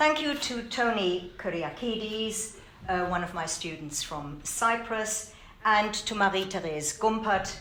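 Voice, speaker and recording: A woman at a fairly slow pace, fairly high-pitched with lively intonation, with audible room echo and noticeable background noise. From Germany. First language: German. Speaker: law lecturer and author. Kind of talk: speech of thanks. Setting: event hall with audience.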